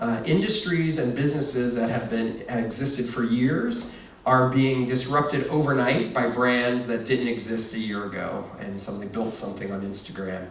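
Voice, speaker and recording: A man with a medium pitch speaks with hardly any pauses, over noticeable background noise and audible room echo. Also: ordinary pitch variation, moderate pace. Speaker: marketing executive giving a keynote. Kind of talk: conference presentation.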